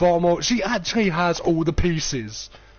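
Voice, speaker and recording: A man with a high pitch and ordinary pitch variation speaks over noticeable background noise. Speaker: gaming streamer. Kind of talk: casual live-stream commentary.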